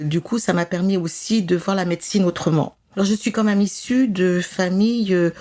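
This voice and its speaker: At a moderate pace, a woman speaks at medium pitch with a dark, mellow tone, fairly even intonation and very even loudness. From France, Grenoble region. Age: 70s. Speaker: retired nurse and medium. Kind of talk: interview. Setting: in her chalet. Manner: hesitant, many fillers.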